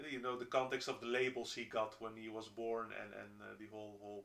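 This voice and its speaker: In a Dutch accent, a man speaks at a fairly quick pace in a medium pitch with monotone, flat intonation. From Netherlands. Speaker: roommate of the streamer. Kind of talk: casual chat. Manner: halting, many fillers and restarts.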